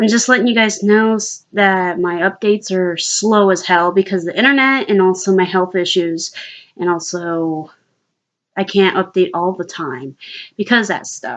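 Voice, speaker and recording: Pitch varies in an ordinary way while the talking keeps a moderate pace. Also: woman, medium pitch for a woman. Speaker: vlogger. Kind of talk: casual monologue to camera. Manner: hesitant, many fillers.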